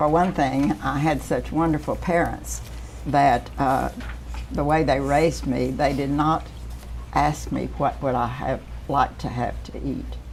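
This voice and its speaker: Audible room echo surrounds a woman who talks fairly slowly. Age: 80s+. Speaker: retired car dealer. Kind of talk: interview.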